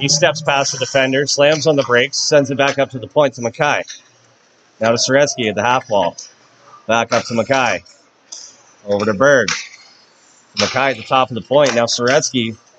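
Pausing long and often, a man speaks in an animated tone over noticeable background noise. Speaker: hockey play-by-play announcer. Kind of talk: live hockey play-by-play commentary. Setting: arena, broadcasting a game to a stream. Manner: rapid-fire, animated, calling the action as it happens; upbeat, friendly broadcaster tone. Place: stadium.

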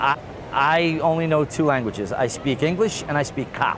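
A man with fairly high pitch and ordinary pitch variation speaks in a dry sound with no echo against noticeable background noise. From Queens, New York. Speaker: police officer. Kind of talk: interview answer. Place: street. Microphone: lapel.

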